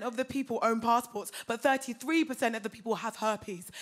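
Over a quiet background, a woman talks at a moderate pace in an English accent. Her pitch is high and her intonation fairly even. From England. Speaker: comedian. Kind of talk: stand-up. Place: stage. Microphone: handheld.

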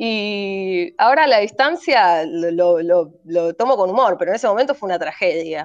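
Against a quiet background, a woman talks at a moderate pace with lively intonation and hardly any pauses. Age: 30s. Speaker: cult survivor; guest. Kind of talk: testimony. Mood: earnest, reflective. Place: home room. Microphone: video call.

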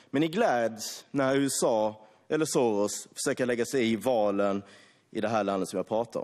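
A man speaks against a quiet background. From Sweden. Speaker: member of parliament. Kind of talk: parliamentary speech, formal debate oratory. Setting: parliament chamber. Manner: forceful, sarcastic and accusatory, with a formal tone; passionate, solemn praise when thanking the Hungarian leader. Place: hall. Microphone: podium.

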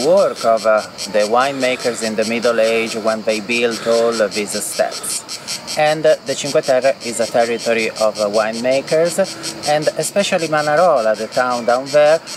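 Recorded dry with no echo but noticeable background noise, a man speaks at a moderate pace with ordinary pitch variation. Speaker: tour guide. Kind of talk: travel guide commentary. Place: open country.

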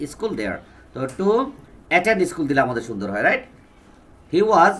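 A man talks in a high pitch. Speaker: English teacher. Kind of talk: lecture.

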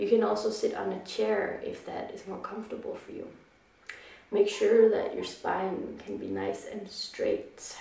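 Audible room echo surrounds a woman who speaks at a fairly slow pace, with big swings in loudness. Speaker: yoga instructor. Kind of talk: guided meditation and breathing instruction. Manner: calm, slow, soothing; clear, measured instructional pacing. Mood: calm, soothing. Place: home room. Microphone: camera far.

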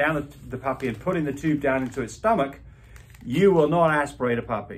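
A man talks at a fairly quick pace, somewhat breathy, with ordinary pitch variation. Light background noise can be heard. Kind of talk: tutorial. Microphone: phone near.

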